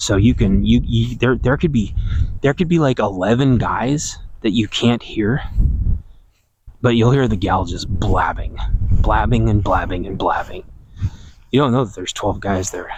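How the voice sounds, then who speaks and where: A man speaks at a moderate pace with a fairly low pitch and lively intonation. Long pauses come often. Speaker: podcast host. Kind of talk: casual monologue. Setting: outdoors in garden. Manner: quiet, not projecting; modulating volume.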